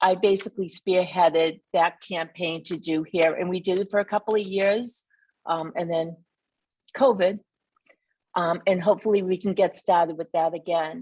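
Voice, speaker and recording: With an American accent, a woman at medium pitch speaks at a fairly slow pace in an unremarkable speaking voice with ordinary pitch variation. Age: 60s. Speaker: school committee candidate. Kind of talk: candidate forum answer.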